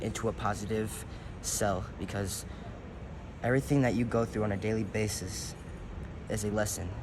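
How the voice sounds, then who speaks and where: Audible room echo surrounds a man speaking at a fairly low pitch. He talks at a fairly quick pace with fairly even intonation. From US, Detroit and Baton Rouge, Louisiana. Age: young (18). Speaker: rapper and musician. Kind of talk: interview. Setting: indoors in a large building.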